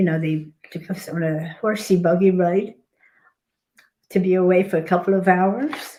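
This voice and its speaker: Her voice has a dark, mellow tone and fairly even intonation, and this woman leaves long, frequent pauses. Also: medium pitch for a woman, moderate pace. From Poland. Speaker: Holocaust survivor and author. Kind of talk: interview testimony. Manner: halting.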